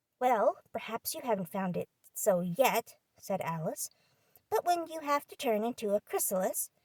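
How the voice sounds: The setting is quiet. Over it comes a natural reading voice.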